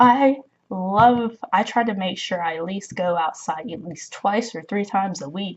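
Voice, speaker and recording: A woman's medium-pitched, somewhat breathy voice at a fairly slow pace, with ordinary pitch variation and big swings in loudness. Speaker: spirituality vlogger. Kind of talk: casual advice monologue.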